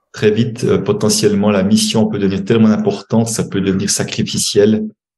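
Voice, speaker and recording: Echo from the room is audible as a man speaks fairly quickly. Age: 60s. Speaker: money coach and author. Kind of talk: podcast interview. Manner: hesitant, many fillers and repetitions.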